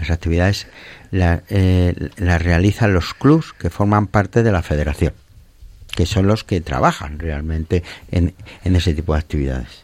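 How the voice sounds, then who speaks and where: A man talks at a fairly slow pace in a very deep, low voice with ordinary pitch variation. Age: old. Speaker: mountaineering federation official. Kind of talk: interview. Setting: studio.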